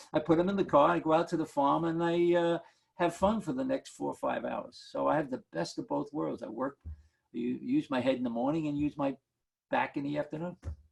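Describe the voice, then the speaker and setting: Talking fairly quickly, a man speaks with a New York accent. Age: 70s. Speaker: market analyst. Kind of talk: Q&A on a video call. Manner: animated.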